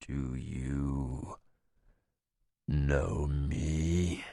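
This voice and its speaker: Quietly, a man does a put-on character voice with a very deep, low pitch. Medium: read story. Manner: quiet, cold, menacing.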